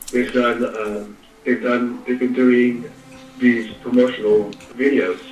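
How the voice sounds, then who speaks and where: With an American accent, a man talks at a fairly slow pace in a medium pitch. Music plays in the background, and audible room echo is present. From US West Coast, East Bay Area (Contra Costa County, California). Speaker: actor and stuntman. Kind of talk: casual interview. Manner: halting, many fillers and repetitions.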